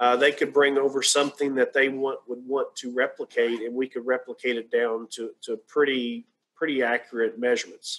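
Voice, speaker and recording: At a moderate pace and medium pitch, a man talks in a monotone, flat way with hardly any pauses. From rural Kentucky. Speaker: radiologic science professor. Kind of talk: Q&A interview on a webinar. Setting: video call. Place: home room. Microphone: video call.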